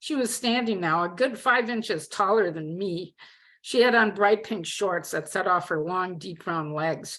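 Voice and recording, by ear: Someone reads aloud. Their voice is natural.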